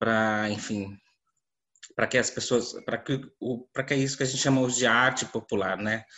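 The man's intonation stays monotone and flat. He speaks at a medium pitch. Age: 30s. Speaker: visual artist. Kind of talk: panel discussion. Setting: video call.

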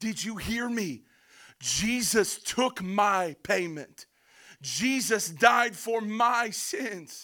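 Using a raised, projected voice, a man with a high pitch speaks very slowly with ordinary pitch variation. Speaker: pastor. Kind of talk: sermon. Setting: church. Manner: loud; animated.

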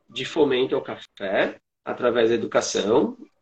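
Lively intonation from a man speaking fairly slowly. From Santana do Livramento, Rio Grande do Sul, Brazil. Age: 40s. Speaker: coffee educator. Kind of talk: casual chat.

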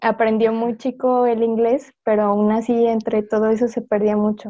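A woman with a fairly high pitch talks at a fairly slow pace in an unremarkable speaking voice. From Mexico City. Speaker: panel guest. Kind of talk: casual panel chat.

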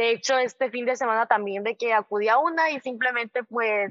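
A woman speaks at a fairly quick pace in a high pitch with ordinary pitch variation. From southern Mexico, Tabasco. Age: 20s. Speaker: medical student. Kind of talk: interview. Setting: video call. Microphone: remote call audio, lower quality.

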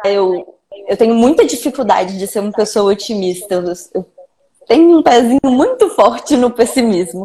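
A woman has a plain, everyday voice at a fairly high pitch. Her pace is moderate, with ordinary pitch variation. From Minas Gerais, Belo Horizonte. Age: 20s. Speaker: video editor. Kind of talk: casual chat.

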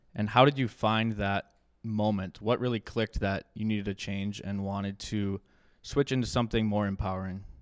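A man with a normal speaking voice, fairly low in pitch and fairly even in intonation, talks at a moderate pace in a very clean, dry, close recording with a silent background and no echo. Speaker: podcast host and former college hockey player. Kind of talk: interview questions at live show. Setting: stage with audience.

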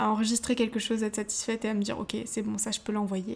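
A woman speaks with a fairly high pitch and a somewhat breathy quality. Her intonation stays monotone and flat. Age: young. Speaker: podcast host. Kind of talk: motivational monologue. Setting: home, seated in living room.

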